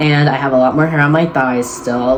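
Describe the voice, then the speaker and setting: Against noticeable background noise, a man with a fairly high pitch and ordinary pitch variation speaks at a fairly quick pace. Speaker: vlogger. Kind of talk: casual monologue.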